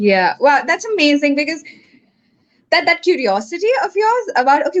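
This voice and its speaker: Here the speaker is a woman. She talks at a fairly quick pace. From India, Kerala (Malayali). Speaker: podcast host. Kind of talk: casual interview chat.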